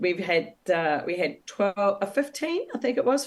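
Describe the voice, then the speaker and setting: Speaking at a moderate pace with an New Zealand accent, a woman swings her pitch very widely. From New Zealand, Wellington. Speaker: author and former travel agent. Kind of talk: interview. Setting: podcast interview. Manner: hesitant, many fillers.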